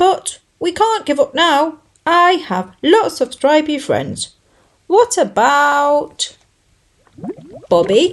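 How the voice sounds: Using a put-on character voice, a woman speaks slowly at a high pitch, with big pitch swings and long, frequent pauses.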